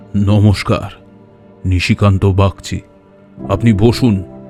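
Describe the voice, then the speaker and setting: Faint music plays behind a man doing a put-on character voice. His voice is fairly low, with fairly even intonation. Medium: audio drama. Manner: grave, measured.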